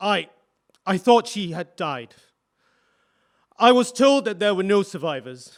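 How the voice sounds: Putting on a character voice, a man speaks fairly slowly in a high pitch with big pitch swings, in a very clean recording with a silent background.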